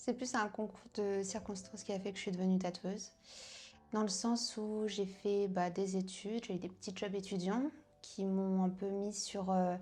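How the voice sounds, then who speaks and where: Her speech is fairly slow and monotone with flat intonation, a woman's medium-pitched voice with a dark, mellow tone. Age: 30s. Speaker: tattoo artist. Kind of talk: interview. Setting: tattoo studio. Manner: hesitant, many fillers.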